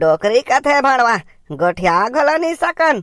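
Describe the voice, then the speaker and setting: A cartoonish character voice at a fairly high pitch, with very wide pitch swings. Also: fairly slow pace. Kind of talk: cartoon comedy.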